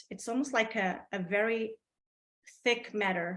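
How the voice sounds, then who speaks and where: A woman speaks with a Portuguese accent. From Portugal. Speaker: artist. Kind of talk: casual chat. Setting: video call. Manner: halting.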